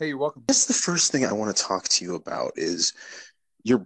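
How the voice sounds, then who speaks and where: A man with an American accent speaks at a very fast pace. The sound is dry and close, with no echo. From US Great Plains, Cheyenne River Reservation, South Dakota. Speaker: podcast host, graduate student. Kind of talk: interview podcast. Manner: halting, many fillers.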